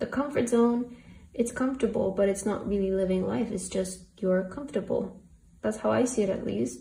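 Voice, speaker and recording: Heard with audible room echo, a woman of medium pitch speaks at a moderate pace with lively intonation, a dark, mellow tone and vocal fry. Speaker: tarot reader. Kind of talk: tarot reading. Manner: casual, filler-heavy; stuttering at times.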